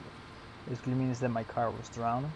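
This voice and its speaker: Noticeable background noise runs under the recording. The man speaking has a medium pitch. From Netherlands. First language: Dutch. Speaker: gaming streamer. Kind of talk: live stream commentary. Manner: halting.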